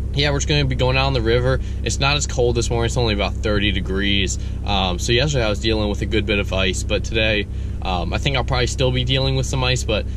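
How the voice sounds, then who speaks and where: With noticeable background noise in a dry sound with no echo, a man talks at a very fast pace in a very deep, low pitch, with ordinary pitch variation and very even loudness. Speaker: hunter vlogger. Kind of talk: casual vlog chat. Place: car. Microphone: phone near.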